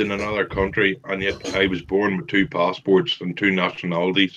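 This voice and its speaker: With a Northern Irish accent, a man talks at a moderate pace in a fairly low pitch. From Northern Ireland. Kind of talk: casual chat.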